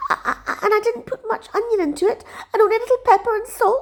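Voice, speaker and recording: A woman speaks very fast in a put-on character voice pitched extremely high. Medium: read story.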